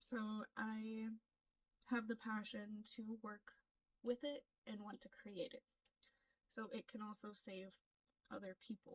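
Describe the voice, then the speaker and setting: Speaking in an American accent, a woman with a fairly high, somewhat breathy voice keeps fairly even intonation at a fairly slow pace with long, frequent pauses, in a dry, close sound with no echo. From US, Florida. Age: 20s. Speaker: K-pop audition applicant, aspiring singer. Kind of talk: self-introduction vlog.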